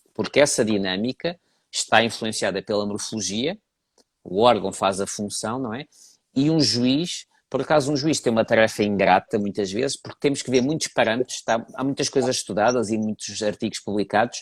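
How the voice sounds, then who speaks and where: A man with a European Portuguese accent at a moderate pace, ordinary pitch variation, in a very clean recording with a silent background. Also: medium pitch for a man, dry, close sound with no echo. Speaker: horse breed judge. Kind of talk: interview.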